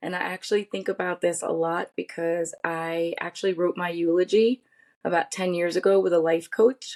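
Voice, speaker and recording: In a normal speaking voice, a woman talks at a moderate pace with a fairly low pitch and fairly even intonation, the sound dry and close with no echo. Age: 50s. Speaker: podcast guest, pharmaceutical industry cytogeneticist. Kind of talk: interview conversation.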